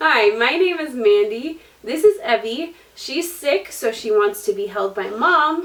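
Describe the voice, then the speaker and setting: At a fairly slow pace, a woman speaks with very wide pitch swings over noticeable background noise. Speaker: booktuber. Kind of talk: book review vlog.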